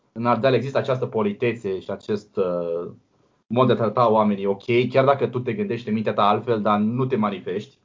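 A man's a normal speaking voice, medium in pitch, with fairly even intonation at a fairly quick pace. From Romania, Brăila. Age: 20s. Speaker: blind software developer. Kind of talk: interview.

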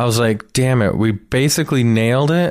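A man with a plain, everyday voice, medium pitch and ordinary pitch variation, on a very clean recording with a silent background. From Canada, Toronto (Etobicoke). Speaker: comedian. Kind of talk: casual chat.

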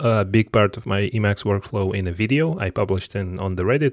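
A man talks at a very fast pace in a fairly low voice, with ordinary pitch variation, a dry, close sound with no echo, and a very clean recording with a silent background. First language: not English. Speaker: podcast host. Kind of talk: solo tech podcast monologue. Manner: casual with frequent fillers and repetitions.

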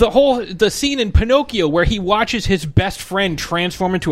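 Against noticeable background noise, a high-pitched man speaks at a moderate pace. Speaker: podcast co-host. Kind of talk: casual chat. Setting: studio. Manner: loud.

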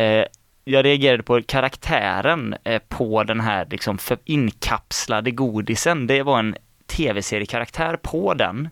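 A normal speaking voice at a fairly slow pace, with ordinary pitch variation, in a dry, close sound with no echo on a very clean recording against a silent background. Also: man, medium pitch for a man. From Mark municipality, West Sweden. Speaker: student radio host. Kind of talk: casual chat.

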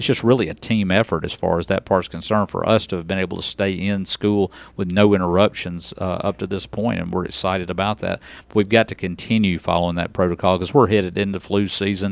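The speaker talks at a very fast pace in a Southern US accent with fairly even intonation. The recording is very clean, with a silent background. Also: man, very deep, low pitch for a man. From West Tennessee. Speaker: school district superintendent. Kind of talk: interview. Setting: studio.

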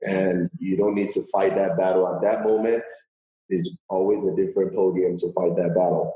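With an American accent, a man speaks at a moderate pace and at a very even loudness. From Nigeria. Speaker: gelato shop co-owner. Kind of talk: interview testimony. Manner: halting, repeats words.

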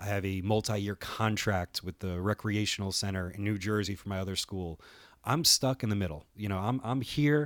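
Captured in a very clean recording with a silent background and a dry, close sound with no echo, a man speaks in a normal speaking voice at a fairly low pitch and moderate pace, with ordinary pitch variation. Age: 30s. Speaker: podcast host and wrestling producer. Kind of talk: solo podcast monologue. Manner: casual, many filler words.

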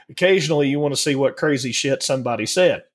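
A man speaks with a strong Southern US accent. His pitch varies in an ordinary way. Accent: thick Southern US. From US South. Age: 40s. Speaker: podcast co-host. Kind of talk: casual chat.

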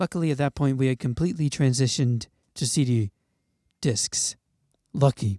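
A man at medium pitch with a dark, mellow tone, moderate pace and long, frequent pauses, in a very clean recording with a silent background. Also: ordinary pitch variation, dry, close sound with no echo. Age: 20s. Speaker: podcast host. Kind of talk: casual chat.

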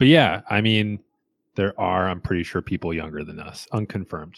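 An animated tone comes through in a very clean, dry, close recording with a silent background and no echo. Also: man. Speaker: podcast co-host. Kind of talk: casual chat. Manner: joking, animated.

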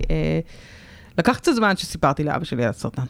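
This woman speaks in a fairly low pitch. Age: 30s. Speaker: podcast host, breast cancer survivor. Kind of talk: casual chat. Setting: radio studio.

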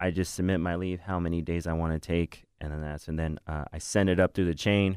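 A man with an American accent speaks at a very deep, low pitch and a fairly quick pace, in monotone, flat intonation. The recording is very clean, with a silent background. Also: dry, close sound with no echo. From Northern California. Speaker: Marine recruiter. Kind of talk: casual interview.

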